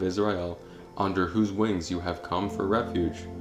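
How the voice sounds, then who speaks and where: With music in the background, the speaker keeps a moderate pace and ordinary pitch variation. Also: man. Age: young. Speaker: audio Bible narrator. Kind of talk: scripture reading. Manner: calm, meditative.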